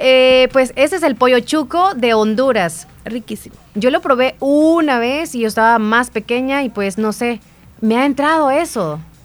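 A woman speaks in a high pitch with lively intonation. Her pace is fairly slow. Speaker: radio host. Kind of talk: news reading; casual chat.

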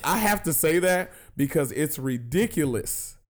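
On a very clean recording with a silent background, a man speaks at a fairly slow pace in an animated tone, with vocal fry and very wide pitch swings. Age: 20s. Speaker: comedy podcast host. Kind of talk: casual chat.

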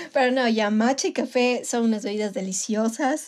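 A woman speaks in an ordinary speaking voice, her fairly high pitch moving with ordinary variation at a moderate pace. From Ecuador, Manabí. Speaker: podcast co-host. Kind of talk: casual chat. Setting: recorded remotely, separately.

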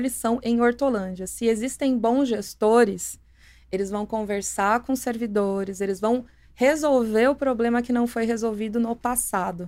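In a plain, everyday voice, a woman talks at a fairly high pitch with fairly even intonation, the recording very clean over a silent background. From São Paulo ABC region, Brazil. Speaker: municipal economic development secretary. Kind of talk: podcast interview.

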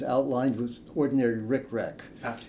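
Audible room echo surrounds a man speaking at medium pitch with a dark, mellow tone. His pace is fairly slow and his intonation fairly even. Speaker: hymn writer and priest. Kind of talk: interview. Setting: in person. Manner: halting.

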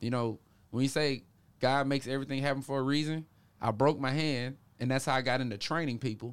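On a very clean recording with a silent background, a man with an American accent talks at a very fast pace, his medium pitch held in fairly even intonation. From US South, Memphis, Tennessee. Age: 30s. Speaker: pro boxer and boxing coach. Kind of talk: casual interview.

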